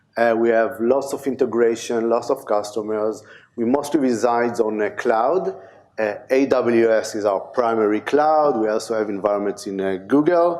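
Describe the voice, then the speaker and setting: A man with an Israeli accent, medium pitch, ordinary pitch variation and a moderate pace, plus audible room echo. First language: Hebrew. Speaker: conference speaker, DevOps engineer. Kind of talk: conference talk. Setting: stage with audience. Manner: halting, many fillers.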